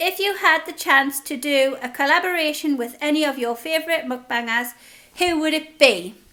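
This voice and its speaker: With a Geordie accent, a woman projects a raised voice at a high pitch, using a bright, sharp tone, ordinary pitch variation and a moderate pace. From northern England, Newcastle (Geordie). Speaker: food vlogger. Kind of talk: casual Q&A chat. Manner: chatty, informal.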